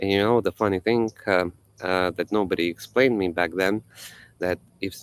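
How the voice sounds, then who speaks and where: In a dry, close recording with no echo, a man with a very deep, low pitch speaks at a moderate pace with ordinary pitch variation. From Estonia. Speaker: spiritual teacher, livestream host. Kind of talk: casual livestream talk. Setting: live video stream. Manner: halting, many fillers.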